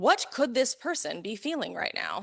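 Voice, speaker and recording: A woman speaks loudly in a high, bright, sharp voice with an animated tone and lively intonation over a quiet background. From US West Coast, Los Angeles. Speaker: neurodiversity coach and conference speaker. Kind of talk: conference talk.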